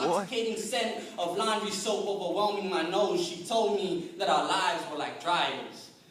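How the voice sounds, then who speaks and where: Over noticeable background noise, a man with a high voice speaks at a moderate pace with hardly any pauses and ordinary pitch variation. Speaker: slam poet. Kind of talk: slam poetry performance. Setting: live event with audience.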